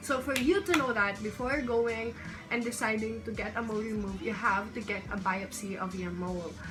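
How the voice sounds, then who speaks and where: Audible room echo and background music surround the speech. The pace is fairly quick, with ordinary pitch variation. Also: woman, fairly high pitch for a woman. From Philippines. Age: young. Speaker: lifestyle YouTuber. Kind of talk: vlog talking to camera. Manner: casual, Tagalog-English code-switching.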